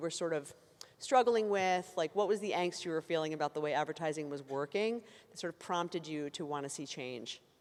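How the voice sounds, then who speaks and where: A woman talks at a fairly quick pace with lively intonation. Her pitch sits fairly low. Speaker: panel moderator. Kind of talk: moderated panel discussion. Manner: loud.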